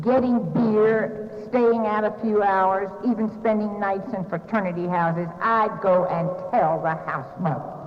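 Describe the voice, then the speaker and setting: Over noticeable background noise and audible room echo, a woman speaks in a Southern US accent at a fairly slow pace with hardly any pauses. Her pitch is medium, with ordinary variation. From US South, North Carolina. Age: 60s. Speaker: recovery speaker. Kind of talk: recovery meeting talk.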